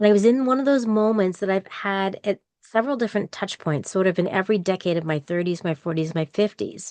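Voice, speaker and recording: At a very fast pace, a woman talks with a medium pitch and ordinary pitch variation, in a dry, close sound with no echo over a quiet background. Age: 60s. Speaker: podcaster and university employee. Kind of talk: interview conversation.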